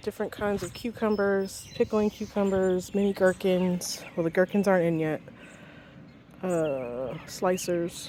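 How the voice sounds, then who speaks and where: Dark and mellow in tone, a woman at a medium pitch speaks at a fairly slow pace with ordinary pitch variation. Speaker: home gardener. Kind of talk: casual garden tour to camera. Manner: impromptu, unscripted.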